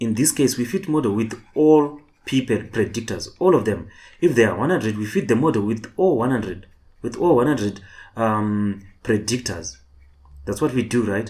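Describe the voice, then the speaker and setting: Medium-pitched man with lively intonation at a moderate pace, with audible room echo. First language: not English. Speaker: online tutor. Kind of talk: lecture. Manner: halting, repetitive.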